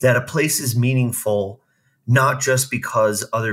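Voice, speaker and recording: On a very clean recording with a silent background, a man with an unremarkable speaking voice talks at medium pitch and a fairly slow pace. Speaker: podcast host. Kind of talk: casual interview chat.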